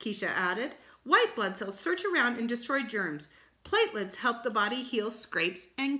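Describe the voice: The speaker reads aloud plainly.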